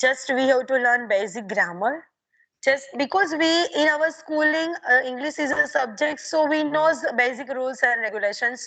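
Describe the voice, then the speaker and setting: A woman with a Gujarati accent raises and projects her high-pitched voice in a bright, sharp tone. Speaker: English learner. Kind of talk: conversation practice interview. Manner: halting, many fillers.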